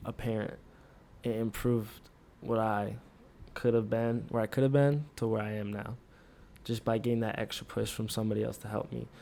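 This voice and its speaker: A man talks at a fairly quick pace in a normal speaking voice. His pitch is fairly low and his intonation fairly even. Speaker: podcast co-host, college student. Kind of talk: casual chat.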